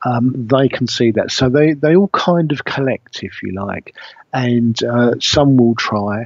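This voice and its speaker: A man speaks in a British accent at a fairly slow pace. His pitch is medium, with ordinary variation. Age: 60s. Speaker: spiritual medium. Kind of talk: radio interview talk. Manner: halting, with many fillers.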